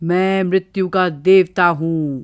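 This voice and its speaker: The speaker puts on a character voice at a middle pitch. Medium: read story. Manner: boastful, menacing.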